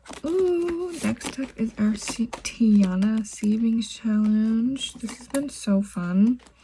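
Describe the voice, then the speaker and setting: Very slow speech from a woman with a fairly high pitch, lively intonation, big swings in loudness and hardly any pauses, over noticeable background noise. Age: 20s. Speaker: budgeting YouTuber. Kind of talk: casual tutorial.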